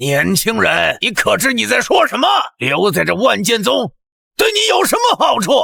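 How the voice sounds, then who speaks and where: At a moderate pace, a man uses a raised, projected cartoonish character voice with very even loudness. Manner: haughty, condescending.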